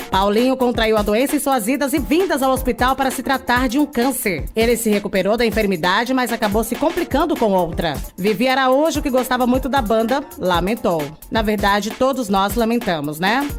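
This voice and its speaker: Upbeat, fairly high-pitched female speech at a moderate pace with lively intonation, very even loudness and hardly any pauses, over music in the background. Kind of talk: entertainment gossip news presentation. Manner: upbeat, friendly.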